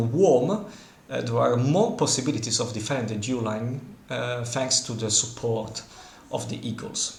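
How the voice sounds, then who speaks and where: A man with an Italian accent speaks at a moderate pace and medium pitch. The room echo is audible, and there is noticeable background noise. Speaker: board game content creator. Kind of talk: game commentary. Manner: hesitant, many fillers.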